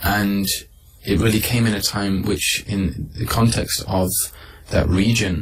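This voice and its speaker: A man with a Mancunian accent, fairly low in pitch, at a fairly slow pace with long, frequent pauses, fairly even intonation, and noticeable background noise. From Manchester, England. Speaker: Islamic scholar. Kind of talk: radio interview answer.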